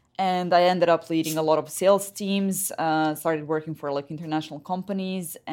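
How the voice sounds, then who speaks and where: A woman speaks in a Serbian accent at a fairly quick pace with monotone, flat intonation. The recording is very clean, with a silent background. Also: fairly low pitch for a woman. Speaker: head of business development. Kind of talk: interview.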